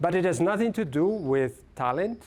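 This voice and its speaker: A man speaks with an Italian accent. His intonation is lively and his pace moderate. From Italy. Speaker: film studies professor. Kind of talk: lecture. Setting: lecture hall with audience. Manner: halting.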